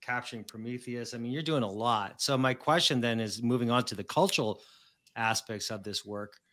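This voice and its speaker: He has an ordinary speaking voice at a medium pitch. The man talks at a fairly quick pace with fairly even intonation. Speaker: podcast host, tech publisher. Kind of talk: interview. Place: home room. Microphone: studio mic.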